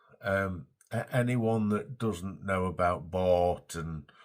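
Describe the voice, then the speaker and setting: Very deep and low, a man's voice carries an English accent with ordinary pitch variation. The recording is very clean with a silent background. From England. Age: 60s. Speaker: vlogger. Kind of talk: casual vlog monologue. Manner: halting, repetitive.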